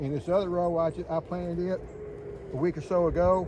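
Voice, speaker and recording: A high-pitched man's voice against noticeable background noise. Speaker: home gardener, retired agriculture worker. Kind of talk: casual garden tour video. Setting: outdoors in garden. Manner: fast.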